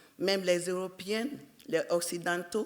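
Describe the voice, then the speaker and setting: Noticeable background noise sits behind a woman with an English accent who speaks at a fairly slow pace and medium pitch. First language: English (speaking French). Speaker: entrepreneur. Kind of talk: personal business story at a panel event.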